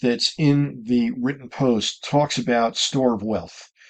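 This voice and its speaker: A man speaks at a fairly slow pace with ordinary pitch variation in an ordinary speaking voice. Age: 60s. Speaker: RV travel vlogger. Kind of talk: casual vlog talk to camera. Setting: inside his camper. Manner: conversational with frequent fillers.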